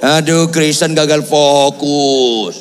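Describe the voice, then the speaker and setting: A man with a fairly high pitch speaks at a very slow pace. Audible room echo and noticeable background noise surround him. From Batak region, North Sumatra, Indonesia. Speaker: pastor. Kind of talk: sermon. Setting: church with congregation, also streamed. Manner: animated.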